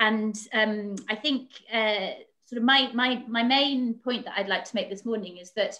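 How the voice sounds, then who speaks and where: The speaker has a British accent, a bright, sharp tone and a fairly slow pace. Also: woman. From Britain. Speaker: foreign policy analyst. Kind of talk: panel discussion. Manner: halting, many fillers.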